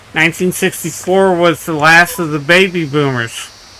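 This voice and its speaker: A man with a high pitch speaks at a fairly slow pace and with fairly even intonation over noticeable background noise. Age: 60s. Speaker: gaming live streamer. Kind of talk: casual live stream chat.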